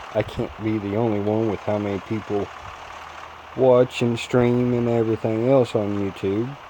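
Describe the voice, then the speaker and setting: A man's fairly low, monotone voice with flat intonation at a moderate pace, over noticeable background noise. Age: 20s. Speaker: gaming youtuber and former truck driver. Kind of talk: gameplay commentary with personal talk. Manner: casual, conversational.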